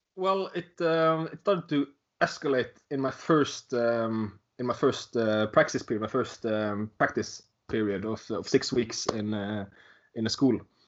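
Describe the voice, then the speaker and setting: The speaker talks at a fairly slow pace with a Norwegian accent. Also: man, medium pitch for a man, lively intonation. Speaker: teacher. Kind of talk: interview. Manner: halting.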